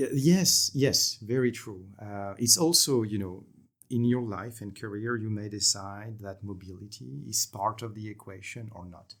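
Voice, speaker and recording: In a very clean recording with a silent background, a man with a French accent speaks at a moderate pace and fairly low pitch, with ordinary pitch variation and big swings in loudness. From France. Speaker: energy company executive. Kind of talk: podcast interview.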